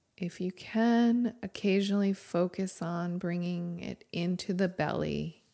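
A woman speaks at a medium pitch in a dark, mellow, soothing and calm tone. Her pace is fairly slow with hardly any pauses and fairly even intonation. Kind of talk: guided meditation. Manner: slow, calm, gentle and unhurried, with long pauses and soft instructions; reverent, soothing.

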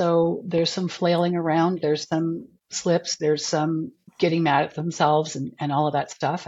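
With a normal speaking voice, a woman talks at a moderate pace in a fairly low pitch. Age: 60s. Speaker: alcohol cut-back coach. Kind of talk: interview, personal story.

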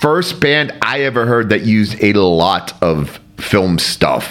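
A man talks at a fairly slow pace, his pitch swinging very widely. Noticeable background noise runs behind him. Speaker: podcast host. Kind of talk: casual chat.

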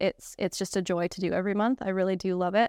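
A woman with a Canadian accent speaks in an unremarkable speaking voice at medium pitch with fairly even intonation. The very clean recording has a silent background and a dry, close sound with no echo. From Canada. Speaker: engagement specialist. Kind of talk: casual chat. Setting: studio.

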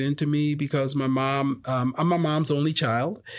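This man has an American accent. His pitch sits fairly high. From South Jersey, Philadelphia area. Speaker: worship pastor. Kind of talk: casual interview. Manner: halting, many fillers.

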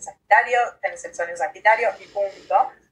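A woman with a fairly high pitch and an unremarkable speaking voice. Her intonation is lively. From Uruguay. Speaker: astrologer. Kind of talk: casual interview.

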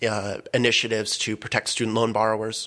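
The man has a fairly low voice. His tone is bright and sharp. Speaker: college club president. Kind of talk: roundtable discussion. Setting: studio.

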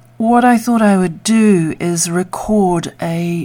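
A woman speaks at a very slow pace in a dark, mellow, calm and soothing tone with ordinary pitch variation. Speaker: meditation guide. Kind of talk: guided meditation. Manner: slow, soothing and gentle; calm and unhurried, with long pauses.

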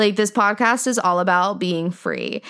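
A woman speaks at a moderate pace, medium in pitch, with ordinary pitch variation. The recording is very clean, with a silent background. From US, Indian American. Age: 20s. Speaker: podcaster. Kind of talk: casual monologue. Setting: home bedroom.

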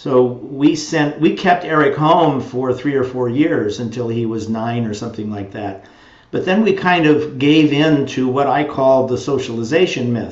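A man at a medium pitch and moderate pace, with ordinary pitch variation and noticeable background noise. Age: 70s. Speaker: education researcher. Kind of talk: interview conversation. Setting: video call.

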